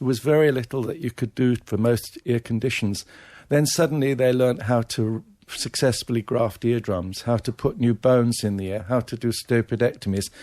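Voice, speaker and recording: A man speaks with an English accent at a medium pitch. His tone is dark and mellow, and his pace is moderate. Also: very clean recording, silent background. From England, Devon. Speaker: ear surgeon and professor. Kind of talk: radio interview.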